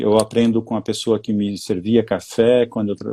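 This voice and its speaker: A man's fairly low voice moves along at a fairly quick clip. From Brazil, São Paulo state interior (Taubaté). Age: 60s. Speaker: executive coach and mentor. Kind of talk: live interview. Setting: online live stream. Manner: halting, many fillers and restarts.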